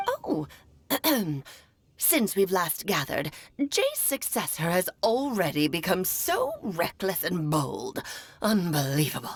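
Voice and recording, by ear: A put-on character voice, female-sounding and medium in pitch, at a fairly slow pace with long, frequent pauses.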